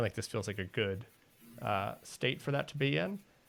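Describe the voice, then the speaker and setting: A man talks at a medium pitch with music playing in the background. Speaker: live stream host. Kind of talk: casual live stream chat. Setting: live stream, video call. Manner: halting, repeats words.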